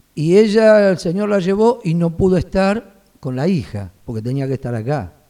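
A man with a Rioplatense accent talks at a moderate pace, his pitch swinging very widely. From Buenos Aires, Argentina. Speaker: pastor and seminary vice-rector. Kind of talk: casual interview.

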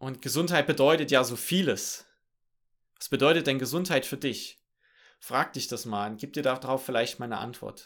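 Using a medium pitch and ordinary pitch variation, a man talks at a moderate pace with long, frequent pauses and big swings in loudness. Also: very clean recording, silent background. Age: 20s. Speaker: podcast host. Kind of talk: solo podcast monologue. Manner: many filler sounds, somewhat halting.

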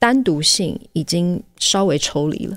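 Speaking very slowly, a woman with a fairly low pitch uses lively intonation. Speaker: podcast host. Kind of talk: solo podcast monologue.

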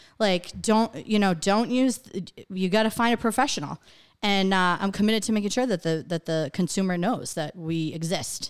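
A woman speaks at a moderate pace with ordinary pitch variation and a medium pitch, in an ordinary speaking voice. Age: 30s. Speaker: real estate agent. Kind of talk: casual chat.

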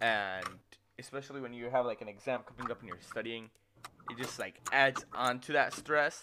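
A man with a plain, everyday voice talks at a moderate pace, his medium pitch held in fairly even intonation. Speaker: podcast host. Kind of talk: casual chat. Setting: video call.

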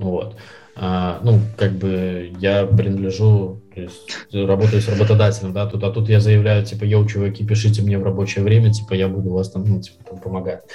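With music in the background and audible room echo, a man speaks at a fairly low pitch in a monotone, flat delivery. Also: moderate pace. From Belarus, Minsk. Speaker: sales professional. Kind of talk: casual interview.

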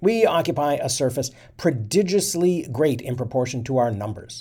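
The recording is very clean, with a silent background. A man speaks at a moderate pace in a dark, mellow tone that is somewhat breathy. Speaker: history podcast narrator reading a historical speech. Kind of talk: reading aloud a 19th-century congressional speech, with short commentary. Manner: formal, measured oratorical delivery.

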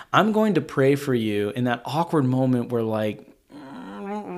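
A man is speaking. His pitch swings very widely. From Arkansas. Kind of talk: casual discussion of a Bible passage.

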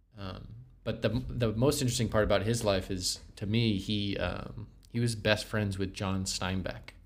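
Vocal fry colors this voice, which has ordinary pitch variation and a moderate pace. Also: man, fairly low pitch for a man. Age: 20s. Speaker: podcast co-host. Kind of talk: casual chat.

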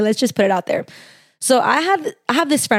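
In a very clean recording with a silent background, a woman with a Californian accent sounds dry and close, with no echo. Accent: Californian, valley girl style. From San Fernando Valley, Los Angeles. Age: 20s. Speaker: podcast host. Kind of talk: solo podcast monologue. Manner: casual, filler-heavy (frequent like, um).

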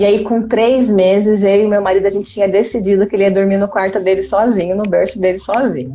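Over noticeable background noise and audible room echo, a woman with a medium pitch talks at a very fast pace, with very even loudness and hardly any pauses. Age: 30s. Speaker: mother and entrepreneur, former HR professional. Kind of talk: casual interview on a live stream. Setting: live video stream. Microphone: quiet audio.

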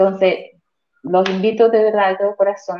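A woman with a normal speaking voice talks at a medium pitch and a moderate pace. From Colombia. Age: 40s. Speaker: real estate investor. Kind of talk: testimony.

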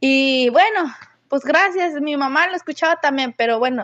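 A woman speaks in a high pitch with lively intonation. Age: 20s. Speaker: listener sharing a story. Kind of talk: recorded voice message anecdote.

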